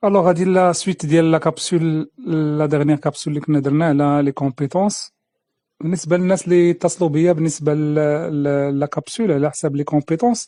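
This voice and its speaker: A man's fairly high voice with a Moroccan accent, dark and mellow in tone, fairly even in intonation, at a moderate pace, dry and close with no echo over a quiet background. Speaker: career coach and trainer. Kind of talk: instructional talk to camera. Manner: casual, code-switching with French.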